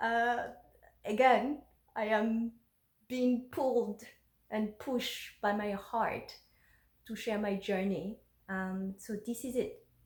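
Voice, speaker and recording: A somewhat breathy woman with a fairly high voice speaks very slowly with fairly even intonation and long, frequent pauses. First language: French and Fon. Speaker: blogger. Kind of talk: reading aloud. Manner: halting.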